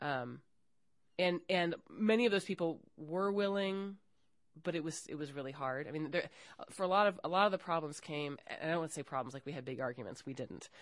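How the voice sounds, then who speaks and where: A woman's ordinary speaking voice, fairly quick, with lively intonation, over a quiet background. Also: fairly low pitch for a woman. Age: 40s. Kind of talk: recorded interview conversation. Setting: university.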